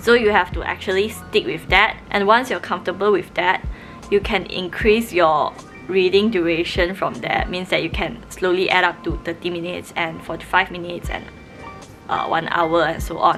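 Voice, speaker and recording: A woman with a Malaysian accent talks at a moderate pace in a medium pitch, her intonation fairly even, with music in the background. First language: Mandarin Chinese. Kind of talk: casual talk to camera.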